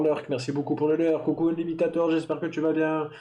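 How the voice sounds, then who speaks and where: Fairly high-pitched man with noticeable background noise. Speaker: streamer opening trading card packs. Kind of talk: live stream casual chat. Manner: loud; hesitant, many fillers.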